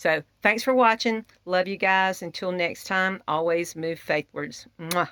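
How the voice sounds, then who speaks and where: With a Southern US accent and hardly any pauses, a woman speaks at medium pitch with ordinary variation and a bright, sharp tone in a very clean recording with a silent background. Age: 60s. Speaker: homesteader. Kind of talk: casual vlog. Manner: casual with fillers.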